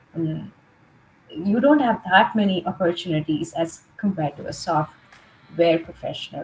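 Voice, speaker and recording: With an American accent, this somewhat breathy voice moves at a moderate pace and swings widely in loudness. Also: woman, fairly low pitch for a woman, ordinary pitch variation. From India, Mumbai. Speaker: leadership trainer and coach. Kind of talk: interview.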